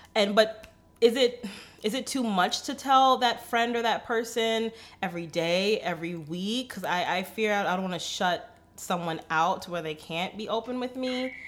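A woman with a plain, everyday voice talks at a moderate pace and a fairly high pitch. Her intonation is lively, with big swings in loudness. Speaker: podcast co-host. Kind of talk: casual chat.

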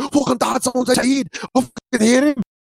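A put-on character voice at a fairly high pitch and a very fast pace, with music in the background. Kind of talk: crude, sweary. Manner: annoyed, excited.

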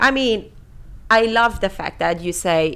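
With a Persian accent, a woman speaks at a fairly slow pace. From Iran. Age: 30s. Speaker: podcast host. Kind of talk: casual chat.

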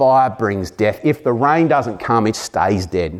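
The speaker talks at a fairly slow pace with ordinary pitch variation in an Australian accent, on a very clean recording with a silent background. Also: man. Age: 40s. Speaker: pastor. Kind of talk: sermon.

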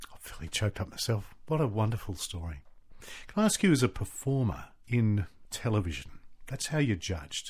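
A man with an Australian accent speaks at a fairly quick pace and a medium pitch, somewhat breathy, with very wide pitch swings on a very clean recording with a silent background. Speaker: radio host. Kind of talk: casual interview.

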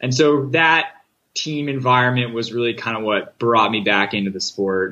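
An unremarkable speaking voice with an American accent goes at a moderate pace with ordinary pitch variation. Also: man, medium pitch for a man. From US Northeast, Connecticut. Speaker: Olympic rower. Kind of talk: interview. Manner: casual, filler-heavy.

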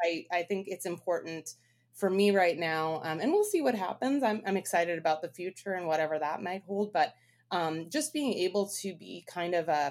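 With a Canadian accent, a woman speaks in an ordinary speaking voice. Her pitch is fairly low and her pace moderate. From Canadian prairies, Winnipeg, Manitoba. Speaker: brewing consultant. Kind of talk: interview.

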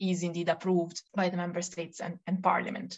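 A woman's medium-pitched voice with an Italian accent. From Italy. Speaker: climate economics researcher. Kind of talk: interview. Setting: remote call.

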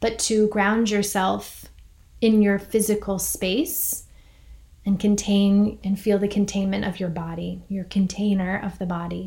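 The tone is dark and mellow, somewhat breathy. The pace is fairly slow, and the intonation is monotone and flat. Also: woman, medium pitch for a woman. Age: 40s. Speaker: podcast host and meditation teacher. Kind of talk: reflective monologue with guided grounding. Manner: soft-spoken.

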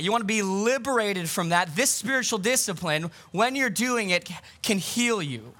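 In a raised, projected voice, a man talks at a high pitch and a moderate pace. His tone is bright and sharp, with ordinary pitch variation. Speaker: pastor. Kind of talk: sermon. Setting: outdoors; church. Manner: loud.

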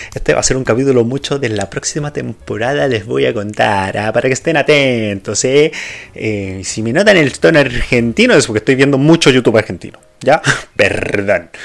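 A man speaks at medium pitch and a moderate pace, his intonation lively. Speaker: podcast host. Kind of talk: solo casual monologue. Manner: hesitant, many fillers.

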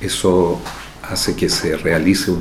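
Audible room echo surrounds a man who talks at a fairly slow pace in a very deep, low voice. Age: 60s. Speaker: neurosurgeon. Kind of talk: interview testimony.

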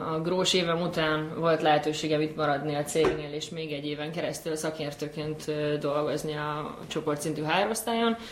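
In a room with audible echo and noticeable background noise, a woman speaks with a very deep, low pitch. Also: fairly even intonation, moderate pace, hardly any pauses. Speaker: graduate program alumna, executive assistant. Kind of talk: casual chat.

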